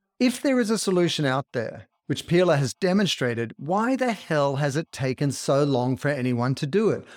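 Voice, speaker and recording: A man with an Australian accent speaks at a moderate pace in a fairly high voice, his pitch swinging very widely and his loudness staying very even. Hardly any pauses break the speech, and the very clean recording has a silent background and a dry, close sound with no echo. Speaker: podcast host and author. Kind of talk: interview.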